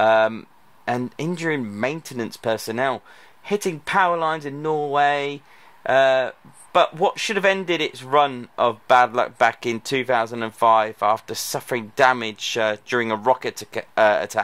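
Ordinary pitch variation marks this man's fairly slow delivery. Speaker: aviation vlogger. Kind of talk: casual vlog commentary. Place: open country. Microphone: phone near.

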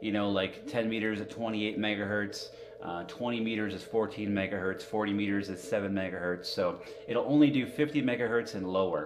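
The voice moves at a moderate pace with ordinary pitch variation. Noticeable background noise is present. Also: man. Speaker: amateur radio hobbyist streamer. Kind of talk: casual live stream chat. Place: home room.

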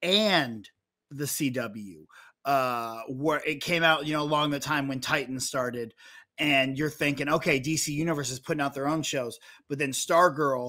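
A man talks at a moderate pace with ordinary pitch variation and a bright, sharp tone. The background is quiet. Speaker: podcast co-host. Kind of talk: commentary. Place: studio. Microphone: studio mic.

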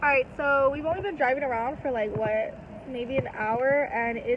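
A woman at a fairly slow pace, with ordinary pitch variation, dry sound with no echo and noticeable background noise. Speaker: vlogger. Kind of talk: casual vlog chat. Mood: amused, chatty. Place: car. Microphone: phone near.

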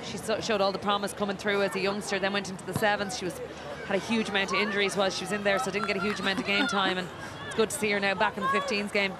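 Over crowd noise in the background, someone with an Irish accent talks at a very fast pace in a monotone, flat intonation. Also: woman, medium pitch for a woman. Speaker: former rugby captain, pundit. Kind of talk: live co-commentary.

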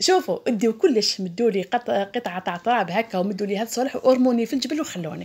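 A woman's fairly high-pitched voice at a fairly quick pace. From Algeria, Tipaza province; Algeria. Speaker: vlogger and homemaker; vlogger. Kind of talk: casual vlog narration. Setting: outdoors on a drive in the countryside. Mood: enthusiastic about nature. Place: open country.

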